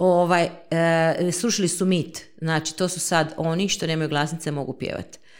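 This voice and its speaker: Her delivery is monotone and flat, as this woman speaks at a moderate pace with fairly low pitch. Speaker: speech therapist. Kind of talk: interview.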